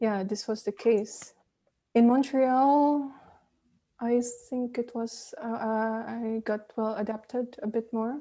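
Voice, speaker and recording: At a very slow pace, a woman speaks with a dark, mellow tone and fairly even intonation. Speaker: composer. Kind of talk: interview conversation. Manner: hesitant, many fillers.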